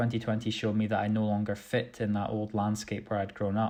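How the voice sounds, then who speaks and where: A man's fairly low voice at a moderate pace, flat and monotone in intonation. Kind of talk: slam poetry performance.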